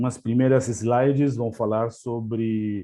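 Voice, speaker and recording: A man of medium pitch in an Argentine accent, against a quiet background. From Argentina. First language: Spanish (speaking Portuguese). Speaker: language services executive. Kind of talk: webinar presentation. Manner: hesitant, many fillers.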